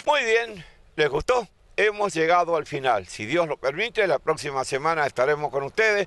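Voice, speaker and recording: A man speaks at a moderate pace in a high pitch, with lively intonation. The sound is dry and close, with no echo. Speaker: local TV host. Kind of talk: local TV magazine show and interviews.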